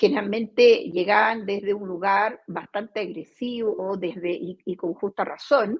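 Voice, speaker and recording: A woman speaks with a Portuguese accent at a fairly slow pace. Her pitch is medium, with ordinary pitch variation. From Brazil. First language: Portuguese (speaking Spanish). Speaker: company CEO. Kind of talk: interview. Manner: hesitant, many fillers.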